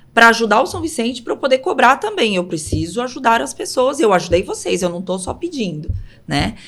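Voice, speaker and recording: Her pitch fairly high and swinging very widely, a woman talks at a moderate pace. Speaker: city councillor. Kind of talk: interview.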